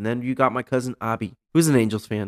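An unremarkable speaking voice from a man with an American accent, fairly even in intonation and at a fairly quick pace, in a dry, close sound with no echo. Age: 30s. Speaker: podcast host. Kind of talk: casual chat.

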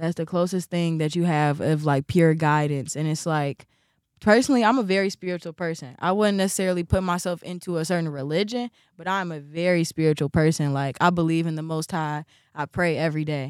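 A woman with an American accent talks at a fairly quick pace in an unremarkable speaking voice, her fairly low pitch moving with ordinary variation in a dry, close recording with no echo. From Chicago, US Midwest. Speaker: fashion designer and artist. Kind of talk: interview.

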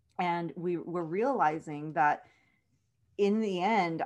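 This woman has an ordinary speaking voice at medium pitch with ordinary pitch variation. The background is quiet. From South Texas. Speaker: author. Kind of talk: interview.

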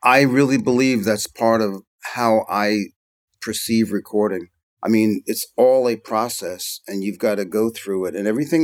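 A man with an American accent talks at a moderate pace in an unremarkable speaking voice, medium in pitch with ordinary pitch variation. The sound is dry and close with no echo, on a very clean recording with a silent background. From US Northeast (Philadelphia, New York). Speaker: record mixer and engineer. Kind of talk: interview conversation.

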